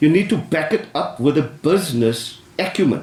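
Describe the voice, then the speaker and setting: Over noticeable background noise and audible room echo, a man talks at a fairly high pitch with lively intonation. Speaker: business adviser. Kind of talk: panel discussion. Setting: council chamber with audience. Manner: loud; animated.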